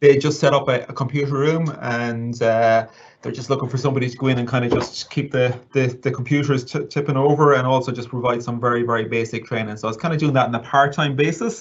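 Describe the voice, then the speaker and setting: With a western Irish accent, a man at medium pitch rattles along at a very fast pace, with hardly any pauses and fairly even intonation. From Ireland, County Mayo. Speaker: assistive technology trainer. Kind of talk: interview. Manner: halting.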